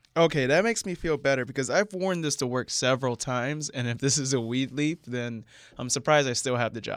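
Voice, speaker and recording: A man with an American accent talks at a fairly quick pace, medium pitch, and ordinary pitch variation. He has a plain, everyday voice. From central Florida. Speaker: comedian. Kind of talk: casual chat.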